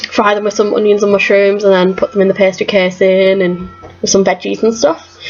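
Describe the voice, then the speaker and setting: A woman with a Teesside accent talks at a very fast pace. Noticeable background noise runs underneath. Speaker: vlogger. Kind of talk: casual Q&A vlog.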